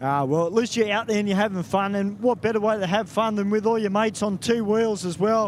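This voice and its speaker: A man with an Australian accent talks in a high pitch, his intonation fairly even. Noticeable background noise runs behind him. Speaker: drag racing track announcer. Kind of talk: trackside interview.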